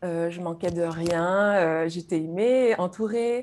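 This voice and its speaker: A woman with a dark, mellow tone talks very slowly at a medium pitch, her pitch varying in an ordinary way. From Guadeloupe, French Antilles. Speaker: YouTube creator, spiritual guest. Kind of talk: personal testimony in interview. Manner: hesitant, repeats words.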